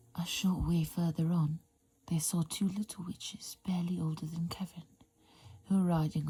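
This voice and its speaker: A woman whispers at a moderate pace. She is soft-spoken and somewhat breathy. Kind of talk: whispered ASMR book reading. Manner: whispered, soft.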